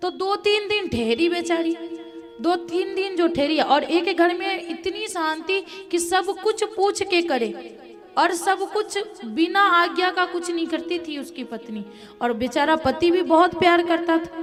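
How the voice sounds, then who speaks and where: A woman speaks at an extremely high pitch with a Bihar accent. Background noise is noticeable. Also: ordinary pitch variation. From Mithila region, Bihar. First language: Maithili (speaking Hindi). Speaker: religious storyteller. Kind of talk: religious discourse.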